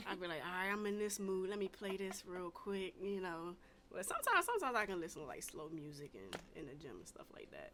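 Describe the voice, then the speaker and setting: A woman with an American accent and an animated tone at a very fast pace, medium pitch, ordinary pitch variation and big swings in loudness. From Washington DC, later North Carolina. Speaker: podcast host. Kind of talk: casual chat. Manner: animated storytelling.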